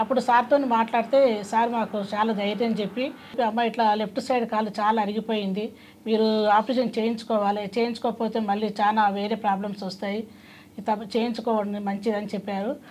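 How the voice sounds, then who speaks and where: This woman talks at a fairly high pitch with a flat, monotone delivery and a somewhat breathy quality. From Hyderabad, Telangana, India. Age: 50s. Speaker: patient. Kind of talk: testimony.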